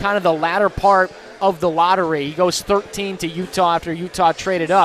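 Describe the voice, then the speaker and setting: Over noticeable background noise, a man talks at a high pitch in an animated tone. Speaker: sports radio host. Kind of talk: live sports radio show patter, remote broadcast from a bar. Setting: radio studio broadcast on location at a restaurant. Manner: fast, animated, punchy talker promoting phone and text lines between segments.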